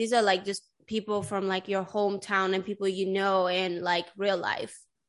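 A woman with a New York accent, medium-pitched, bright and sharp in tone, at a moderate pace against a quiet background. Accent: New York-tinged American English. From Sweden. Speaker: podcast host. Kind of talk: casual interview. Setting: video call.

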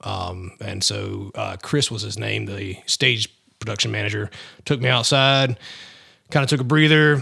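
A man speaks at a fairly quick pace in a bright, sharp tone with vocal fry, on a very clean recording with a silent background. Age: 30s. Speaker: rock singer in a tribute band. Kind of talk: interview.

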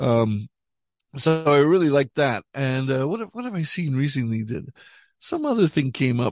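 A man talks in a plain, everyday voice at a fairly high pitch, with lively intonation and a moderate pace. The sound is dry and close, with no echo. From Montreal, Canada. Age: 60s. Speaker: rock musician. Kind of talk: casual chat.

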